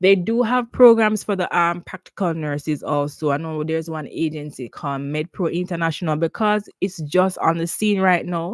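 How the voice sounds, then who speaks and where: Someone with a Jamaican accent speaks at a moderate pace with hardly any pauses. The recording is very clean, with a silent background. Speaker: nurse and nursing career advisor. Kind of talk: live Q&A stream. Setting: YouTube livestream. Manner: casual, conversational with fillers.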